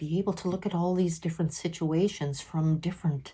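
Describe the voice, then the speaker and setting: A woman speaks with a dark, mellow tone at a fairly low pitch, her voice somewhat breathy. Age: 60s. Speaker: vlogger sharing mental health experiences. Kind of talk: personal vlog monologue.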